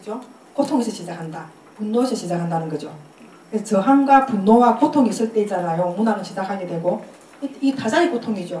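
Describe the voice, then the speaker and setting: Talking very fast with lively intonation, a woman with a fairly high pitch is heard amid noticeable background noise and audible room echo. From Korea, Busan. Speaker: poet giving a lecture. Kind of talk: lecture.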